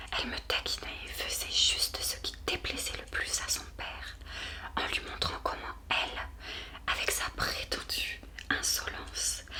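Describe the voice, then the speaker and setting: A woman whispering at a very slow pace over noticeable background noise. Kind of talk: audiobook reading for sleep. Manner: whispered, soft-spoken.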